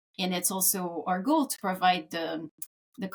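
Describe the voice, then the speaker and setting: A woman with a Quebec French accent, medium in pitch, at a fairly slow pace. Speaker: localization executive. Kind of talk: podcast interview.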